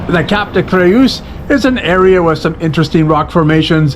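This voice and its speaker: A man speaks with a Canadian accent and lively intonation. Noticeable background noise runs behind him. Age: 60s. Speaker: cycling vlogger. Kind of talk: travel vlog narration.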